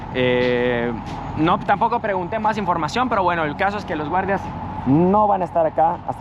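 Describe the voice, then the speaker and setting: A man speaks with a high-pitched voice. Background noise is noticeable throughout. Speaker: travel vlogger. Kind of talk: travel vlog narration. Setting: outdoors, walking through city. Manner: casual, conversational.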